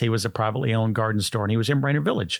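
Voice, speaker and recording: Speaking with an American accent, a man uses a plain, everyday voice at medium pitch with fairly even intonation. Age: 60s. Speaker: health food store founder. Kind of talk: interview.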